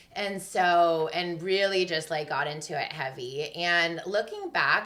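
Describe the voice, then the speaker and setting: A woman speaks at a fairly slow pace with fairly even intonation and a fairly low pitch. Noticeable background noise is present. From US West Coast, San Jose, California Bay Area. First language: Russian. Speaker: community space founder. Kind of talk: podcast interview. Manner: casual, conversational.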